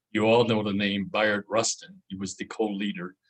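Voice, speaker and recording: A man with a fairly low pitch speaks at a moderate pace in an unremarkable speaking voice, the sound dry and close with no echo. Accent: American. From US Midwest, Chicago. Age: 60s. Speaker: journalist, featured panel speaker. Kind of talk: panel talk, personal account. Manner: conversational with frequent fillers.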